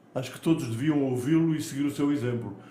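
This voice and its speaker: In audible room echo, a man talks at a fairly quick pace with a fairly high pitch and ordinary pitch variation. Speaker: podcast host, veteran radio commentator. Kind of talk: interview.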